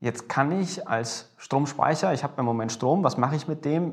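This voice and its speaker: At a moderate pace, this man has an unremarkable speaking voice with ordinary pitch variation. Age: 20s. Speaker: energy storage startup founder. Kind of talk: interview. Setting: meeting room at a university.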